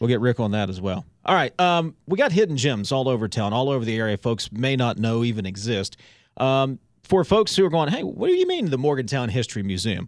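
Lively intonation and a fairly quick pace mark a man with a medium pitch and an ordinary speaking voice. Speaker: radio host.

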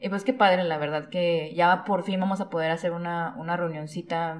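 Here is a woman with a normal speaking voice, pitched fairly low. She talks at a moderate pace. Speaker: podcast co-host. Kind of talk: casual chat.

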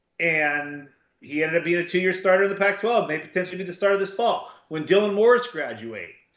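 With a Southern Californian accent, a man talks at a very fast pace in a high pitch with ordinary variation. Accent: Southern Californian American. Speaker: football recruiting analyst, co-host. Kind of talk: casual chat.

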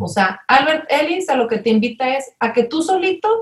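Her pitch is high for a woman. This woman's voice moves in very wide pitch swings. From Mexico, Monterrey. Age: 30s. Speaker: family consultant. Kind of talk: interview conversation.

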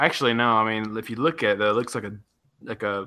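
A man speaks very fast with a Southern US accent, his pitch fairly low. His tone is bright and sharp, and his intonation stays flat and monotone. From US South, West Tennessee. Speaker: podcast co-host. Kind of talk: casual chat.

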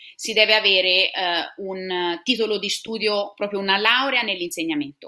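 The speaker is a woman at a medium pitch. She talks at a moderate pace. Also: ordinary pitch variation. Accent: Tuscan. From Tuscany, Italy (Siena). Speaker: science teacher. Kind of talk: interview.

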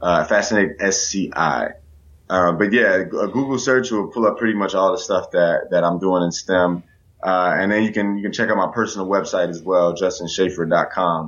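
A man with a normal speaking voice talks at a moderate pace, fairly low in pitch, with ordinary pitch variation. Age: 20s. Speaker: STEM educator. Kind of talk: interview.

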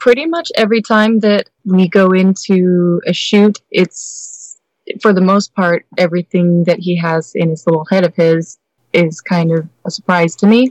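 A woman speaks at a fairly slow pace in an unremarkable speaking voice, with medium pitch and fairly even intonation. The sound is dry and close, with no echo. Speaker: BDSM website performer. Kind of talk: interview chat.

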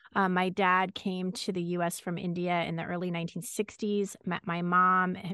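This woman speaks at a moderate pace and medium pitch, with an American accent. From Los Angeles, California. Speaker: radio journalist, co-host of a series. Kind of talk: interview conversation.

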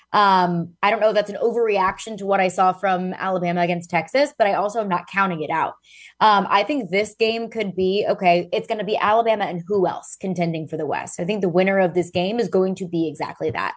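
A woman with an ordinary speaking voice talks at a medium pitch and a fairly quick pace, with hardly any pauses. Her intonation is fairly even, and the background is quiet. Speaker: sports journalist. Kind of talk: sports talk analysis, remote. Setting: remote call-in.

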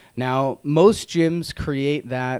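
This man has an unremarkable speaking voice at a medium pitch, with ordinary pitch variation. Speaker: radio health show host. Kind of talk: casual chat.

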